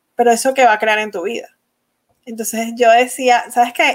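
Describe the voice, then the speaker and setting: This is a woman speaking. She has a normal speaking voice. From Venezuela. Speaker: energy-work facilitator and course creator. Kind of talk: interview.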